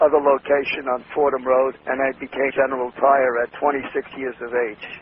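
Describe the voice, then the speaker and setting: Against noticeable background noise, a man speaks at a fairly quick pace in a New York accent. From New York City, Lower East Side. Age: 80s+. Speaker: entrepreneur. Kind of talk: interview.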